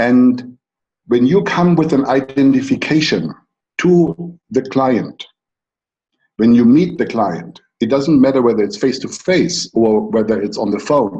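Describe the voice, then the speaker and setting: With a German accent, a man speaks at medium pitch in a dark, mellow tone, taking a fairly slow pace while his pitch swings very widely. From Germany. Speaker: coach. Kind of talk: conference talk.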